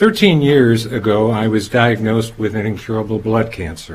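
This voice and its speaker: This man's voice is somewhat breathy and medium in pitch. He talks at a moderate pace with ordinary pitch variation. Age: 70s. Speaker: cancer patient introducing the speaker. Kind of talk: prepared speech. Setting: pharmacy event with audience. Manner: formal.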